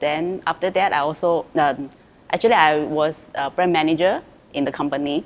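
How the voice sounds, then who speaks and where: A woman with a Chinese accent speaks at a fairly slow pace in a very deep, low pitch with ordinary pitch variation. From China. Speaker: former student, real estate salesperson. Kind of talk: interview testimony. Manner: halting, many fillers and repeats.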